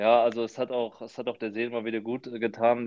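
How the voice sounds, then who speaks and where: Speaking fairly fast, the man keeps to a medium pitch. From Frankfurt, Hesse, Germany. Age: 20s. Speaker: professional footballer. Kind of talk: casual chat.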